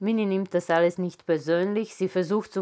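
Against a quiet background, this woman keeps a fairly even intonation. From Serbia, Belgrade. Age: 40s. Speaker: author. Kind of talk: author reading her own literary prose aloud to a live audience. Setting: live reading event in a photo gallery. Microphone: lapel.

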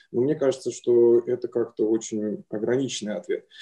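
A dark, mellow voice speaks at a fairly slow pace against a quiet background. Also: man. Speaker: audience member. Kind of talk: asking a question. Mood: calm, thoughtful. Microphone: video call.

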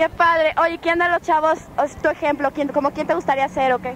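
A woman talks at a fairly quick pace with a high pitch. There is noticeable background noise. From Mexico. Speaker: actress, host and voice-over artist. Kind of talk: on-location interview at a concert. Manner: excited, casual.

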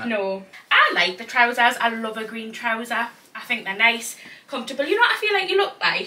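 With a Geordie accent, a woman speaks fairly quickly at a fairly high pitch with lively intonation. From Newcastle, North East England. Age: 20s. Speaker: fashion vlogger. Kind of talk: casual talk to camera. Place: home room. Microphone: camera far.

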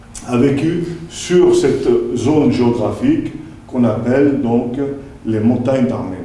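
Speaking fairly slowly, a man's voice comes with audible room echo. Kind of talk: lecture. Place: meeting room.

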